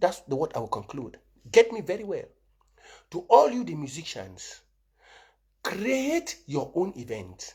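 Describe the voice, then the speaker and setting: A man's high, animated voice with very wide pitch swings, big swings in loudness, and long, frequent pauses. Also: fairly slow pace. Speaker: political commentator. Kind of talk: live stream monologue.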